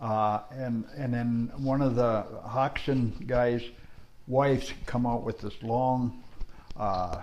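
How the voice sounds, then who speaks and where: A man talks at a very slow pace. His pitch is medium and his intonation fairly even. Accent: American. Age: 70s. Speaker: retired stock car racer. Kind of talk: casual interview. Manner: halting, many fillers.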